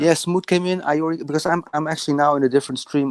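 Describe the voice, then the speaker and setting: In a very clean recording with a silent background and a dry, close sound with no echo, a man with a Dutch accent speaks at a very fast pace. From Netherlands. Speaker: caller. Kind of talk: casual chat. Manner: halting.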